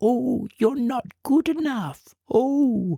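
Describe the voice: The speaker uses a squeaky put-on character voice. The pitch sits fairly high.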